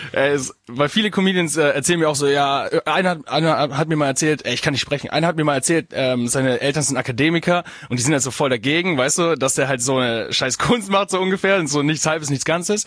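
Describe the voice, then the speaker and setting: Loudness stays very even at a fairly quick pace. Noticeable background noise is present. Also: man, fairly high pitch for a man, ordinary pitch variation. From Bavaria, Augsburg. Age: 20s. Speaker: stand-up comedian. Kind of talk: casual chat.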